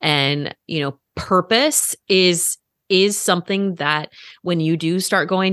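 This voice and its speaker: With a plain, everyday voice, a woman speaks at a fairly low pitch with ordinary pitch variation. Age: 40s. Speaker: breast cancer survivor and wellness coach. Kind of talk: casual interview.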